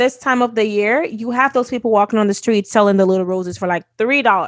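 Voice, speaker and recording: A woman speaks at a very fast pace in an animated tone. The sound is dry and close with no echo, over a quiet background. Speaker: podcast co-host. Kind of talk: casual chat.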